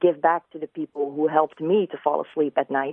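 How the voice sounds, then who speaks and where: A woman with a slight Dutch accent talks in a very deep, low voice with fairly even intonation. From Netherlands. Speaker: ASMR video creator. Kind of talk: live radio interview. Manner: soft-spoken.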